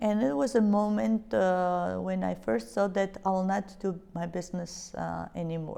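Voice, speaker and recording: A woman speaks with a Georgian accent. Her tone is dark and mellow. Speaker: business leader. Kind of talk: interview. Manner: hesitant, many fillers.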